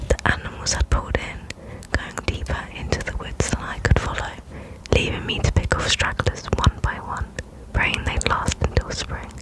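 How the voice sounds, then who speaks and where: A woman is whispering at a moderate pace. Noticeable background noise can be heard behind her. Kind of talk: fiction book reading. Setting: home microphone recording. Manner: whispered, soft.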